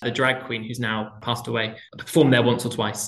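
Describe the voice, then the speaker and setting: A man at a fairly quick pace, with audible echo from the room. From southwest England, Plymouth. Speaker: theatre director. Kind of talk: interview.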